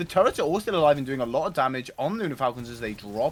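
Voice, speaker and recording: Someone with a British accent speaks in an animated tone at a very fast pace. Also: man. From Britain. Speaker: esports caster. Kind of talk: live commentary. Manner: fast, animated.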